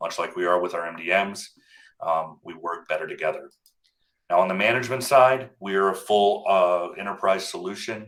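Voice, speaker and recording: Moderate pace, fairly even intonation, and a plain, everyday voice. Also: man. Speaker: product demo presenter. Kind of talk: webinar product demo. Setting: live webinar with screen share.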